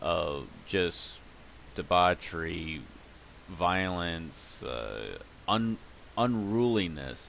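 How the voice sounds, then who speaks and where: A man's very deep, low voice with lively intonation. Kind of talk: casual commentary to camera. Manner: hesitant, stuttering.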